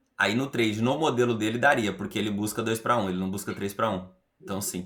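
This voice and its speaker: This man's voice sits fairly low in pitch, with ordinary pitch variation. He speaks at a fairly quick pace. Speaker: trading instructor. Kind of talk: group study session. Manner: fast.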